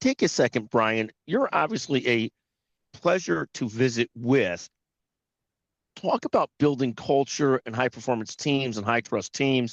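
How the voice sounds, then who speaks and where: Recorded dry and close with no echo against a quiet background, a normal speaking voice moves at a fairly slow pace with ordinary pitch variation. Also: man, medium pitch for a man. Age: 60s. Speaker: podcast host. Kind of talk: interview.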